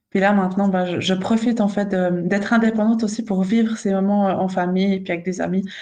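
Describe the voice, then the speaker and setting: A woman with a Swiss accent speaks at a medium pitch in a dark, mellow tone and a monotone, flat intonation. Her pace is very fast with hardly any pauses, and audible room echo surrounds her. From Switzerland. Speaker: nurse and sleep consultant. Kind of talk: casual chat. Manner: halting.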